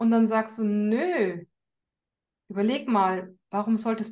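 A woman speaks very slowly in a fairly high voice. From Bavaria, Upper Palatinate near Regensburg. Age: 40s. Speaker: course participant, mother. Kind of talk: interview.

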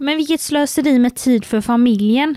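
Recorded very cleanly against a silent background, with a dry, close sound and no echo, a woman speaks at a moderate pace in a normal speaking voice with ordinary pitch variation. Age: 20s. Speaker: podcast co-host, communications officer. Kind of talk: casual chat.

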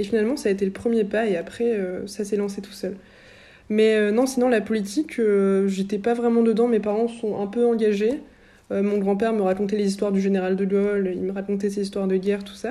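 In a monotone, flat intonation, a woman of medium pitch with a dark, mellow tone speaks at a fairly quick pace. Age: 20s. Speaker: founder of a youth political media outlet and author. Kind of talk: interview.

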